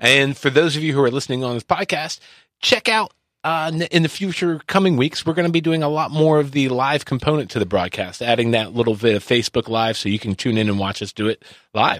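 A man's plain, everyday voice, a plain, everyday voice at a fairly high pitch, fairly quick in pace with lively intonation, dry and close with no echo in a very clean recording with a silent background. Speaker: podcast host. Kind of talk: casual interview chat. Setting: studio.

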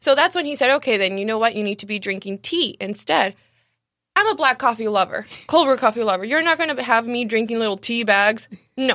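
A woman with a Spanish accent talks at a fairly quick pace with lively intonation in a very clean recording with a silent background. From Mexicali, Mexico. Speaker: cafe owner. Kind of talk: casual interview. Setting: studio, live-streamed on Facebook.

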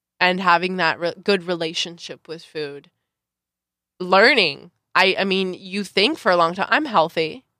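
A bright, sharp tone in an American accent at a fairly slow pace, with ordinary pitch variation, on a very clean recording with a silent background. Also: woman, medium pitch for a woman. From Southern California, Santa Clarita Valley. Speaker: beauty pageant and reality TV contestant, performer. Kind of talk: casual interview chat. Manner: animated, expressive.

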